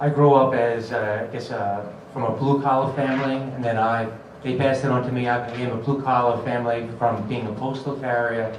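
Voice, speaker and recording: A man with an American accent at medium pitch, fairly quick and monotone, flat in intonation, with audible room echo and noticeable background noise. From Long Island, New York. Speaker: political candidate. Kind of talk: candidate forum speech. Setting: public forum with audience. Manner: halting.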